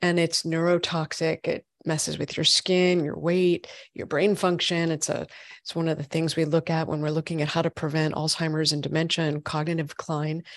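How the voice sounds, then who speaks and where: The sound is dry and close with no echo, over a quiet background. A woman speaks in a monotone, flat way at a moderate pace. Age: 40s. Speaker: functional medicine gynecologist. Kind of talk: interview.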